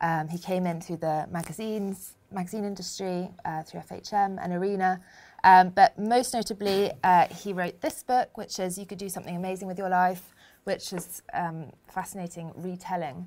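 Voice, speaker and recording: Here is a woman with an ordinary speaking voice, medium pitch and fairly even intonation. She keeps a moderate pace while her loudness swings widely. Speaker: podcast co-host. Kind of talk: live interview. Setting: stage with audience.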